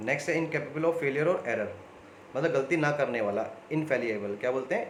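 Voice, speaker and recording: A man speaks at a fairly quick pace in a fairly high voice with lively intonation. Noticeable background noise and audible room echo fill the recording. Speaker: online exam coaching teacher. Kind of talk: video lesson. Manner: conversational.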